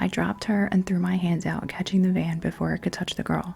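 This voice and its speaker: Noticeable background noise is present. Over it, a woman speaks fairly quickly. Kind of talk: ASMR bedtime story reading. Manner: whispered, soft-spoken.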